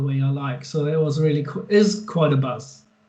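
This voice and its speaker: In a room with audible echo, a man with a German accent talks at a moderate pace in a fairly high voice with ordinary pitch variation. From Germany. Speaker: guitar pedal and amp maker. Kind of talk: interview. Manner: halting.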